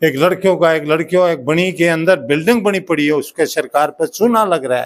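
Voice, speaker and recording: A man speaks at a moderate pace in a high pitch, his pitch varying in an ordinary way. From Delhi rural area, Najafgarh. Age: 70s. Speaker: village elder and social worker. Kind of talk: public speech at event. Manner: rambling, unpolished.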